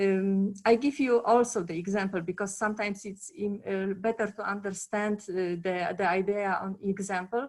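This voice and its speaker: In a Polish accent, a woman speaks at a moderate pace with hardly any pauses, medium pitch and fairly even intonation. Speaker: conference panelist, former project manager. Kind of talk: panel discussion. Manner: halting, many fillers.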